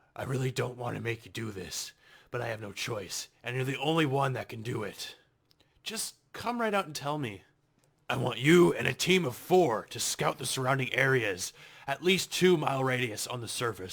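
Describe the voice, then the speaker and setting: A man puts on a raspy character voice at a medium pitch. His intonation is lively and his pace moderate. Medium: audio drama. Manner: blunt, plain-spoken.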